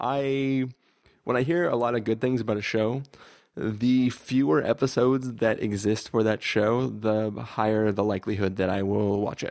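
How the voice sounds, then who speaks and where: A plain, everyday voice with ordinary pitch variation, delivered at a moderate pace. The background is quiet. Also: man, medium pitch for a man. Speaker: podcast host. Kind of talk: casual chat.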